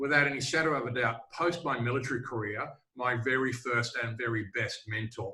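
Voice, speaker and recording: This man speaks with an Australian accent. His pitch is medium and his pace moderate. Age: old. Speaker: sales trainer. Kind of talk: casual chat.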